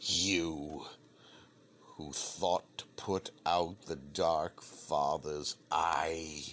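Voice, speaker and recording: A man is speaking. His pace is very slow. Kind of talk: apocalyptic sermon. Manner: ominous, declamatory preaching.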